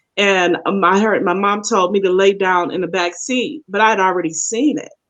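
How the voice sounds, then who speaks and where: An ordinary speaking voice, this woman's has a medium pitch, ordinary pitch variation and a moderate pace, with an American accent. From Arkansas, US South. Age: 50s. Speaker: panel talk show co-host. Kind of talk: casual discussion.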